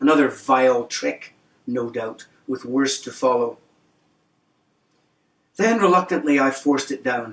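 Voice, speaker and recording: With long, frequent pauses, a man talks at a fairly slow pace, his medium pitch showing ordinary variation. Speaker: novelist. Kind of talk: reading from own novel.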